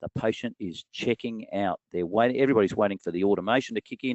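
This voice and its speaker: At a very fast pace, a man speaks with a fairly low pitch. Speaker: dental practice business presenter. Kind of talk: webinar presentation.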